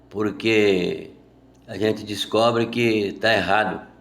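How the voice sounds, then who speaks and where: Very slow speech with audible room echo. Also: man. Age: 60s. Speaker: Bible teacher. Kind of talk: sermon. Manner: informal.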